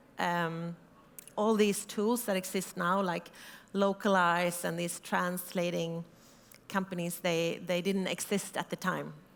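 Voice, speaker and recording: A woman with a Swedish accent speaks at a fairly low pitch and a fairly slow pace, in a monotone, flat intonation. The recording is very clean, with a silent background. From Sweden. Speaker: startup founder. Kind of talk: conference talk. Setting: stage with audience.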